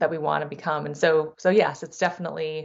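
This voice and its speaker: A woman with a very deep, low pitch, monotone, flat intonation, a General American accent and a moderate pace. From US West Coast, San Diego, California. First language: Thai. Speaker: venture capital investor. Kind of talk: interview. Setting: podcast. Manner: frequent false starts and repetitions.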